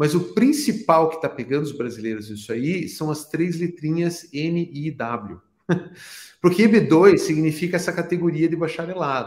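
An unremarkable speaking voice from a man, fairly high in pitch, with lively intonation at a moderate pace. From Brazil. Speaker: immigration consultant. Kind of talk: podcast interview.

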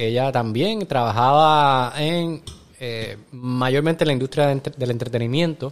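An unremarkable speaking voice from a man, medium in pitch, fairly slow in pace, with ordinary pitch variation. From Puerto Rico. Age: 40s. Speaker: actor and restaurant owner. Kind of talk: casual interview chat.

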